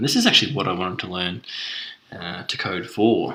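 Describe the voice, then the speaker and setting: A man at medium pitch with a strong Australian accent, very fast and with lively intonation, over noticeable background noise. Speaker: self-taught developer, tutorial creator. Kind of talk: tech demo screencast. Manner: casual with frequent fillers (uh, um).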